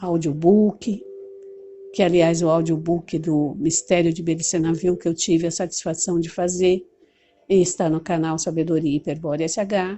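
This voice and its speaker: A woman talks with a fairly low pitch at a moderate pace. Her intonation stays monotone and flat. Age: 60s. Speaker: teacher and movement leader. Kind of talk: talk to camera on study method.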